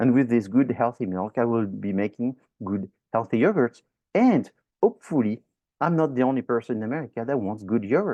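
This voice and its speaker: A man with a French accent at a fairly quick pace. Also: medium pitch for a man, ordinary pitch variation. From France. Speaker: professor. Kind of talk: lecture. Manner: animated.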